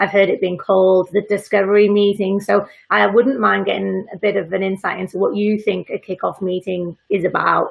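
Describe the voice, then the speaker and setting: Fairly quick speech from a woman with a Welsh accent. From Wales. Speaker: freelance learning designer. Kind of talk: casual live interview chat.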